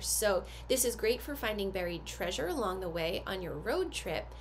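A woman talks at a fairly slow pace while light background noise sits underneath. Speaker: activity box host. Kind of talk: product unboxing tutorial. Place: home room. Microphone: phone near.

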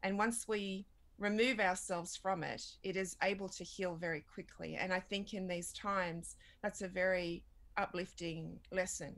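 A woman with an Australian accent speaks at a moderate pace in a medium pitch, her intonation flat and monotone. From Australia, Redfern in Sydney; Sydney, Australia. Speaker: documentary filmmaker. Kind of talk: interview. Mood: earnest, reflective. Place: home room. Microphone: webcam.

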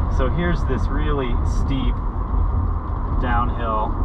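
A man speaks over loud background noise. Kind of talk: casual driving commentary. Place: car. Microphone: camera far.

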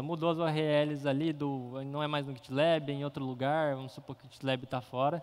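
A man's voice sits fairly high. He talks at a fairly quick pace. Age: 20s. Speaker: software engineer; conference speaker. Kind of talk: conference talk. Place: hall.

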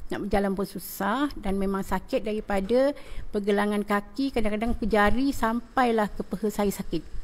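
The speaker is a woman using an ordinary speaking voice at medium pitch. She keeps a moderate pace with fairly even intonation. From Malaysia, Johor (Rengit). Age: 50s. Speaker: schoolteacher. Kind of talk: testimonial interview.

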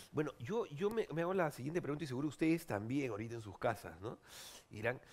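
A man with a fairly high pitch, very wide pitch swings and a fairly quick pace. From Peru. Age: 40s. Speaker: TV host and comedian; TV host, comedian. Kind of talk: talk show interview. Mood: playful, joking. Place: studio. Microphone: headset.

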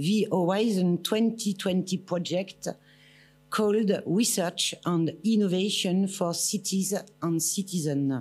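A woman talks very slowly. Background music accompanies her. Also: ordinary pitch variation. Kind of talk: formal speech. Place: hall. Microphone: podium.

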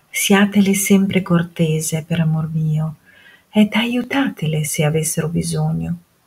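Somewhat breathy and very slow, a woman speaks at a fairly low pitch with ordinary pitch variation. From Modena, Italy. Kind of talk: dramatic reading of a historical letter.

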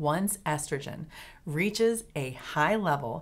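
Very wide pitch swings in the voice of a woman. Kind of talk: educational explainer. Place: office.

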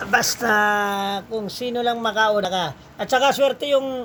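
Her intonation is fairly even. This woman's pitch is fairly high. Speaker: live online seller and cup maker. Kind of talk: street-seller style sales pitch, live-selling promo with a rapid hard sell. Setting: live stream to viewers online. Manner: hyped, boastful, chatty with viewers.

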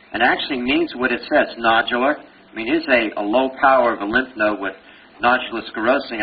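The speaker talks in a Brooklyn accent. Noticeable background noise runs behind the voice. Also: man. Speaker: pathology professor giving board review lecture. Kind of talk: lecture. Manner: animated, conversational.

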